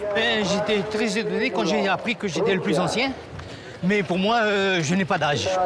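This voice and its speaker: Moderate-paced male speech over noticeable background noise. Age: 80s+. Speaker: veteran runner. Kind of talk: interview.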